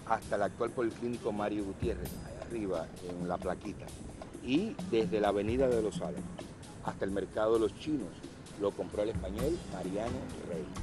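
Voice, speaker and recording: Music plays in the background as a man with a fairly low pitch talks at a moderate pace with lively intonation. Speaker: historian, interviewee. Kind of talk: interview answer, explanatory.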